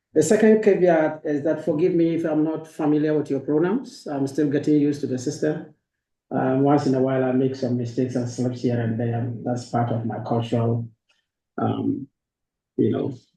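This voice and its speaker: With a Ghanaian accent, the voice has a dark, mellow tone, somewhat breathy, with ordinary pitch variation. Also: man, fairly high pitch for a man, moderate pace. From northern Ghana. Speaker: university professor. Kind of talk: academic lecture. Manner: hesitant fillers.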